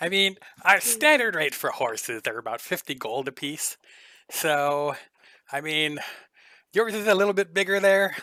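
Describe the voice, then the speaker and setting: A put-on character voice with long, frequent pauses. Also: man, high pitch for a man, moderate pace. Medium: actual play. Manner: eager, friendly.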